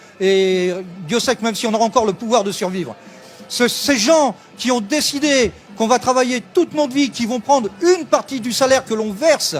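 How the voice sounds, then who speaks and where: A man speaks in an animated tone at an extremely high pitch, with ordinary pitch variation and a moderate pace. Background noise is noticeable. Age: 60s. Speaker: protester, retiree. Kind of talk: street interview. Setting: outdoors at a street protest.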